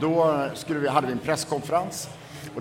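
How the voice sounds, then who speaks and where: A man talks at a very fast pace, with audible room echo and noticeable background noise behind him. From Sweden, Borås. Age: 40s. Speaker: author and former party strategist. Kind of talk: interview conversation.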